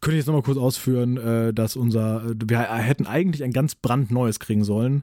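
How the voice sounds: A man's dark, mellow voice at a fairly quick pace. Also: medium pitch for a man, ordinary pitch variation.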